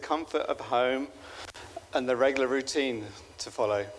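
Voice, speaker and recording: A man with a British accent speaks at a moderate pace, his pitch medium with ordinary variation. Noticeable background noise runs underneath. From UK. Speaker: father of the groom. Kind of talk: wedding speech. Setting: wedding reception. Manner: halting, many fillers.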